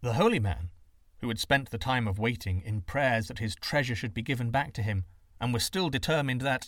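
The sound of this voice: The reading voice is unforced, with pitch varying in an ordinary way.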